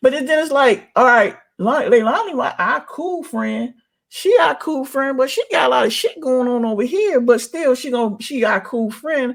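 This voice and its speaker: Speaking with an American accent, a man uses an extremely high pitch and lively intonation. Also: moderate pace. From Washington DC. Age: 50s. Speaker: YouTuber. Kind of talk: casual chat. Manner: animated.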